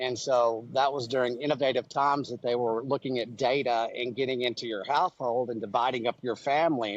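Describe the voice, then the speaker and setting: Speaking at a fairly quick pace, a man talks at a medium pitch. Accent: West Texas. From West Texas (Amarillo). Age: 50s. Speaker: beef industry entrepreneur. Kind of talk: podcast interview. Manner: animated.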